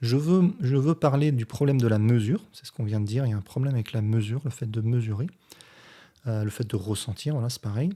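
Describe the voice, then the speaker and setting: A man talks at a very fast pace with a medium pitch and ordinary pitch variation. His tone is dark, mellow, and somewhat breathy. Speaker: physics teacher and science youtuber. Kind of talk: response video commentary explaining physics.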